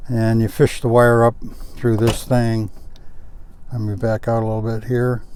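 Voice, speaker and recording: Speaking at a moderate pace with long, frequent pauses, a man holds a medium pitch in a monotone, flat intonation. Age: 70s. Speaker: car reviewer, retiree. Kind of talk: product review walkthrough. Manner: casual, frequent fillers (uh, um).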